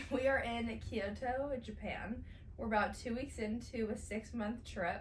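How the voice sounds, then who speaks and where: Fairly high in pitch, a woman with an American accent speaks at a fairly slow pace with fairly even intonation amid audible room echo. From Southern California, San Diego. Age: 20s. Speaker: podcast co-host. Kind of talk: casual chat.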